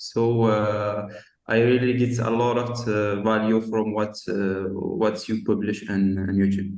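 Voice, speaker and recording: A fairly low-pitched man in a flat monotone with a non-native accent, fairly slow, with audible room echo. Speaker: marketing agency owner. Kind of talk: casual chat. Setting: video call. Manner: halting, many fillers.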